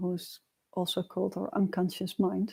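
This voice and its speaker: A soft-spoken woman at a medium pitch, with a dark, mellow tone. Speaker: meditation and personal growth teacher. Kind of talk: livestream teaching talk. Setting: livestream. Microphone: quiet built-in mic, new mic not yet arrived.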